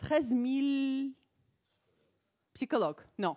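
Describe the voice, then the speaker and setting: On a very clean recording with a silent background and a dry, close sound with no echo, a woman speaks in a high, animated voice with a non-native accent. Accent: foreign accent in French. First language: not French (speaking French). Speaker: psychologist. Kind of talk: conference talk. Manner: halting.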